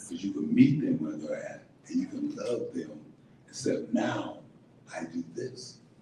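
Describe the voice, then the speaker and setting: Over noticeable background noise, a man talks at a fairly slow pace with big swings in loudness. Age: 70s. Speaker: state legislator and community leader. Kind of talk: speech to an audience. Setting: live event with audience. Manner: emotional, preacher-like cadence.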